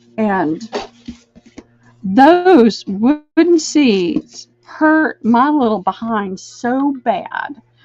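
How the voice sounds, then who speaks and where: With music in the background, a woman speaks very slowly in a high pitch, her pitch swinging very widely between long, frequent pauses. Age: 60s. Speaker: online live sale host. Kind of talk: live sales stream chat. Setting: live video stream from a room, camera mic. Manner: chatty.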